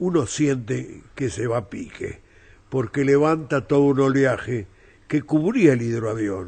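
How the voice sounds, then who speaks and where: Somewhat breathy and at a fairly slow pace, a man speaks with a medium pitch and lively intonation. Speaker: novelist. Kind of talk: interview.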